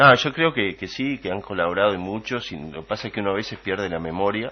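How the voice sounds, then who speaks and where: Fairly low in pitch, a man speaks at a very fast pace. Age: 60s. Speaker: political commentator. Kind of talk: radio political debate. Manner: halting, many fillers.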